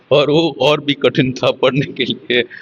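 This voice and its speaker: The speaker has a Tamil accent. Their intonation stays fairly even. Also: man. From Tamil Nadu, India, raised in Kolkata. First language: Tamil (speaking Hindi). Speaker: computer scientist. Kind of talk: interview. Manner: halting, with fillers.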